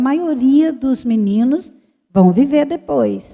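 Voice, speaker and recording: This woman's high-pitched voice has a dark, mellow tone and lively intonation. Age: 60s. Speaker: consecrated religious speaker. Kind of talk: formation talk.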